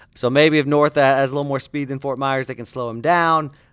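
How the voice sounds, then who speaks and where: In a very clean recording with a silent background, a man with a normal speaking voice, medium pitch and an American accent talks at a fairly quick pace. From Indiana. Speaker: sports journalist and podcast co-host. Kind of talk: casual sports podcast chat.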